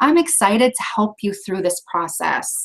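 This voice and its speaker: A woman's bright, sharp tone with very wide pitch swings at a fairly slow pace. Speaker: training presenter. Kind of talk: training lecture. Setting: video conference.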